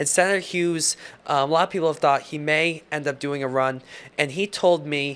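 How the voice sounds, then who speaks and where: A man with an unremarkable speaking voice, fairly high in pitch, with ordinary pitch variation. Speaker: television political reporter. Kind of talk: TV news package narration.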